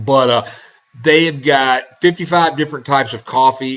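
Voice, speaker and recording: A man talks with a Southern US accent and fairly even intonation. Noticeable background noise runs underneath. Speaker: internet radio host. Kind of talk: casual show talk, event promotion. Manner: hesitant, many fillers.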